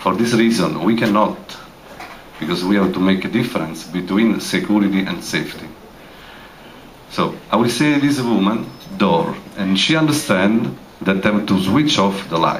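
A man with a fairly low voice and lively intonation keeps a moderate pace but takes long, frequent pauses, over light background noise. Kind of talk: public address to audience. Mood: serious, explanatory. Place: hall.

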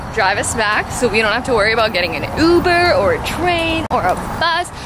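A woman speaks in a dry sound with no echo while music plays in the background. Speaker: vlogger. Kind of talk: casual vlog chat. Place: street. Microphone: phone near.

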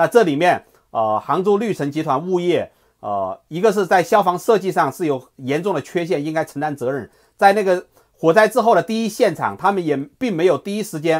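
Over a quiet background, a high-pitched man talks at a fairly quick pace with lively intonation. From China. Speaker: political commentary host. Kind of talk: solo video commentary. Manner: hesitant, many filler sounds. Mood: serious, critical. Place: home room. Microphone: earbuds.

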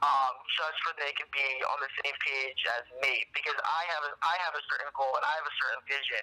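Fairly high in pitch, a man speaks at a fairly quick pace in a monotone, flat intonation, with noticeable background noise behind him. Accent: New Jersey. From northern New Jersey, US. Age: 20s. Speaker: PR company co-founder and college student. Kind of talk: interview.

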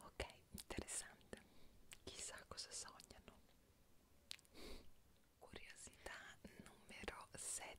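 Whispering at a very slow pace, a woman leaves long pauses often. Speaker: ASMR creator. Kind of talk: ASMR whispered trivia for sleep. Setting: home studio. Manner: whispered, soft-spoken. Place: home room.

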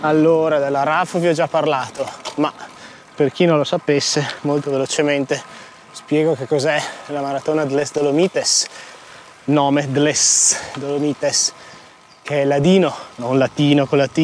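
Speaking at a moderate pace, a man uses a monotone, flat intonation with long, frequent pauses. The sound is dry with no echo, over light background noise. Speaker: amateur cyclist vlogger. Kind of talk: casual vlog chat. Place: bicycle. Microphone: lapel.

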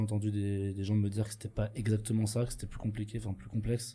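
A man talks at a very fast pace in a monotone, flat delivery. His fairly low voice is somewhat breathy, with a dark, mellow tone. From Switzerland. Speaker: studio technician and protester; podcast co-host or guest. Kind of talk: casual conversation. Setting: studio. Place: studio. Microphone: studio mic.

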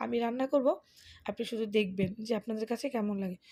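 In a very clean recording with a silent background, a woman speaks with a dark, mellow tone at a fairly high pitch. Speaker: vlogger. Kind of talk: casual vlog.

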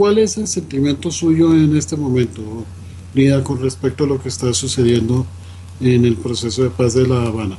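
Lively intonation from a man of medium pitch at a moderate pace, amid noticeable background noise. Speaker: radio host. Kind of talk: radio interview.

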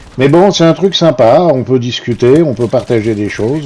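Noticeable background noise surrounds a man talking at a moderate pace. His medium-pitched voice carries lively intonation. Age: old. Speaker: gaming youtuber. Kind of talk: gameplay commentary. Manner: hesitant.

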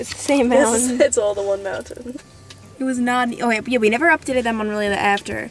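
A woman at a fairly quick pace, dry with no echo, over light background noise. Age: young. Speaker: vlogger. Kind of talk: casual vlog talk.

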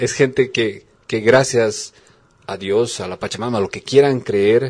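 Using an unremarkable speaking voice, the man keeps fairly even intonation and a moderate pace. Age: 40s. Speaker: radio host. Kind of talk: radio interview.

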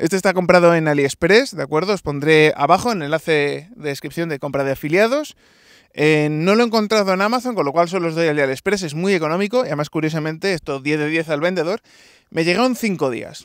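Over a quiet background, a man speaks at a very fast pace with a high pitch, ordinary pitch variation and a dry sound with no echo. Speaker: tech product reviewer. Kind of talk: product review tutorial. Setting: outdoors, walking on stone ground. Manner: talking loudly. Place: open country.

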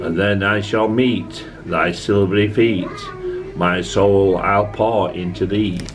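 With a Yorkshire accent, the speaker goes at a very slow pace in a fairly even intonation and very even loudness. Noticeable background noise runs underneath. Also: man, fairly low pitch for a man. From Yorkshire, England. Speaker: amateur poetry reader. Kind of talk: poetry reading. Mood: calm, tender recital. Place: home room. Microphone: phone near.

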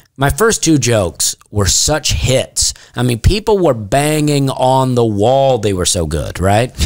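Speaking with a Southern US accent at a fairly slow pace, a man makes very wide pitch swings and hardly any pauses against a quiet background. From US South. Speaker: comedian. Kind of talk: casual chat. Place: studio. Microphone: studio mic.

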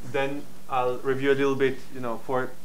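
A man talks at a fairly quick pace. The recording has audible room echo and light background noise. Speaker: lecturer. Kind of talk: lecture. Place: hall.

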